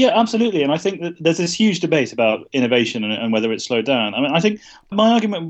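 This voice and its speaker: A man with a British accent talks very fast. His pitch is fairly high and swings very widely. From UK. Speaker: journalist and author. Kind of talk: interview. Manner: hesitant, many fillers.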